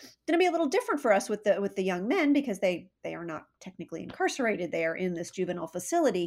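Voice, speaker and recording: A woman in an American accent, with very wide pitch swings. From US West Coast, San Diego. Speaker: nonprofit fundraiser. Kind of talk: interview.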